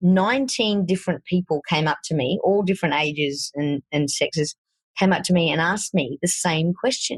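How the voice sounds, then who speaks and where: A woman with a strong Australian accent speaks at a fairly low pitch, somewhat breathy, with lively intonation. Her pace is moderate, and the sound is dry and close with no echo. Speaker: fitness coach. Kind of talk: podcast interview.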